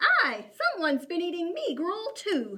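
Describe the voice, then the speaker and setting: A woman's squeaky, put-on character voice, extremely high in pitch with very wide swings up and down. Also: moderate pace. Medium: read story. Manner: growling, muttering.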